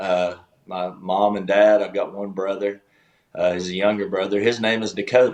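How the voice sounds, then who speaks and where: At a moderate pace, a man talks in a monotone, flat intonation with a fairly low pitch. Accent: Southern US. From US South, East Tennessee (Chattanooga). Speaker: country singer-songwriter, former pastor. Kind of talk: casual interview chat.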